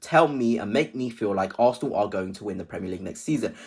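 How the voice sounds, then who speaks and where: A man with an English accent at a very fast pace, very wide pitch swings, on a very clean recording with a silent background. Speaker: football fan vlogger. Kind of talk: casual video commentary. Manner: hesitant at times.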